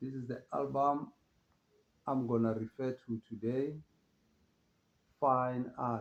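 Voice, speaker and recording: The delivery is monotone and flat, in a relaxed tone. It moves at a very slow pace, broken by long, frequent pauses. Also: man, medium pitch for a man. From South Africa. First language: Pedi (Northern Sotho). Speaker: jazz music presenter. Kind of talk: casual music talk. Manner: relaxed, hesitant with fillers.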